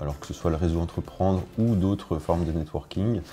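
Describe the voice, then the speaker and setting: Over noticeable background noise, a man with a very deep, low pitch talks at a moderate pace with fairly even intonation. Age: 30s. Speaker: business owner. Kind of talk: testimony. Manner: halting, many hesitations.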